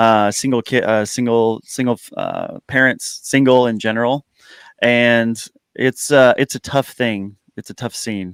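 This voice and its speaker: Recorded with a dry, close sound and no echo, a man with an unremarkable speaking voice talks at a medium pitch and a fairly slow pace with fairly even intonation. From United States. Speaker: YouTuber guest. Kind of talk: casual chat.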